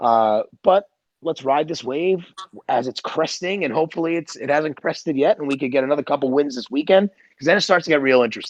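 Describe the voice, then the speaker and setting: In a dry, close recording with no echo, a man talks at a very fast pace with fairly high pitch and ordinary pitch variation. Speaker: podcast host. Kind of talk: casual chat. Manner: loud.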